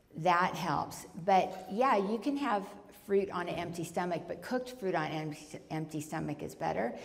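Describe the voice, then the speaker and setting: Her pitch fairly low, a woman talks at a moderate pace with lively intonation, and audible room echo surrounds her voice. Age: 60s. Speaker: Ayurveda author and speaker. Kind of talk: lecture Q&A. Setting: retreat talk with audience. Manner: animated.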